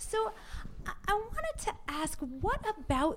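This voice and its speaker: A woman's voice with very wide pitch swings against noticeable background noise. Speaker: podcast interviewer. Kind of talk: casual interview. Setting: in person.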